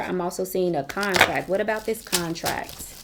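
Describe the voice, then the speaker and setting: A woman's unremarkable speaking voice at a moderate pace, with fairly even intonation. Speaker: tarot reader. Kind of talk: tarot reading. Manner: casual, conversational.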